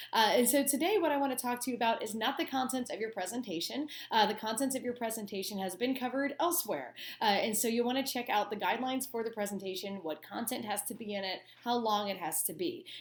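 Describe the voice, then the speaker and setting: A woman talks at a very fast pace with lively intonation and a fairly high pitch. Audible room echo surrounds her voice. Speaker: college instructor. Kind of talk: lecture. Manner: casual with fillers.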